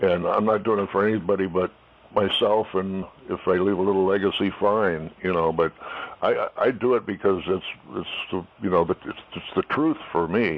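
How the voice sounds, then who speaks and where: With noticeable noise behind him, the man talks at a moderate pace in a fairly low voice, his intonation fairly even. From southern California. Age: 70s. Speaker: jazz musician. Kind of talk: interview. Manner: halting.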